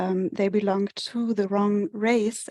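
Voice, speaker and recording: In a German accent, a woman with a medium pitch speaks at a moderate pace in a dark, mellow tone and a flat monotone, the sound dry and close with no echo. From Germany. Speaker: research data manager. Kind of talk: webinar presentation.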